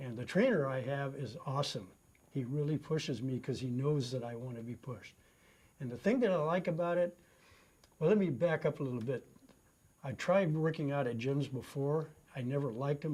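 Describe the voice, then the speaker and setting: Speaking at a fairly quick pace, a man with a fairly high voice sounds somewhat breathy. His pitch varies in an ordinary way. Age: 70s. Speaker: customer testimonial, retired runner. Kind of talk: testimony. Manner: casual, with frequent fillers.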